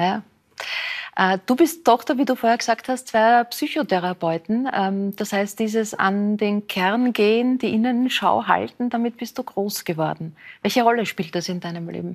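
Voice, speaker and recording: On a very clean recording with a silent background, a woman with a plain, everyday voice, fairly high in pitch, speaks at a moderate pace with ordinary pitch variation. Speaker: talk show host. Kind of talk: interview, talk show. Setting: studio.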